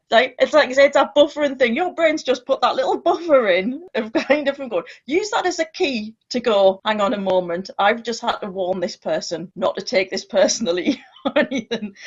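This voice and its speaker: A woman with a British accent speaks at a moderate pace in a high pitch, her voice making very wide pitch swings. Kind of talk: casual chat. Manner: loud.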